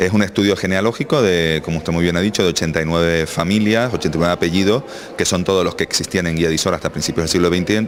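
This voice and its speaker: Over noticeable background noise, a man talks very fast in a very deep, low pitch. His loudness stays very even, with ordinary pitch variation. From Canary Islands, south Tenerife (Arona). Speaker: local historian and author. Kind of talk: radio interview.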